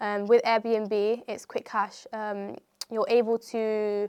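A woman's fairly high, flat, monotone voice with a West Midlands accent. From England, Coventry. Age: 20s. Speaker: property entrepreneur. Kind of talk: interview. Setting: studio.

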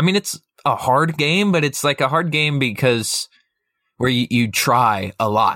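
Speaking at a fairly slow pace, a man with a fairly high pitch and a bright, sharp tone uses lively intonation and very even loudness, in a very clean, dry, close recording with no echo and a silent background. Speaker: podcast co-host, student. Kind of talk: casual chat.

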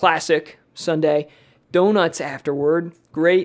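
With an American accent, a man speaks at a fairly high pitch and with fairly even intonation. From Philadelphia, US. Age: 20s. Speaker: real estate agent, former teacher. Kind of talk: casual chat. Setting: home kitchen used as studio.

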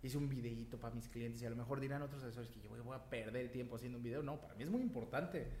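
A man speaks in an animated tone, with audible room echo around his voice. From Yucatán, Mexico. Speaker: real estate agent. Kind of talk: interview. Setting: recording studio. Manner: loud.

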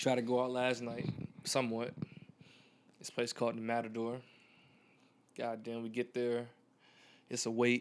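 A man talks at a moderate pace with a medium pitch and flat, monotone intonation. He leaves long, frequent pauses. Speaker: podcast host. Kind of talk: casual chat. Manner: casual, slangy.

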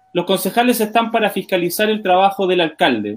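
A man talks at a very fast pace. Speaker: town councillor and show co-host. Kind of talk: casual interview show. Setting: at home in his kitchen, online stream.

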